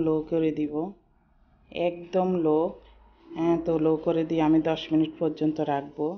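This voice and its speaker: With monotone, flat intonation, a woman speaks in a very deep, low voice. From Bangladesh. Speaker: cooking vlogger. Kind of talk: cooking tutorial. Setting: closed room at home. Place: kitchen. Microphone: sound may not be good, enclosed room; phone near.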